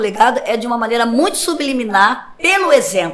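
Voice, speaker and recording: A woman's voice sits at a high pitch and swings very widely in pitch. Noticeable background noise can be heard. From Rio de Janeiro, Brazil. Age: 60s. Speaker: pastor. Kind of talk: podcast interview. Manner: conversational.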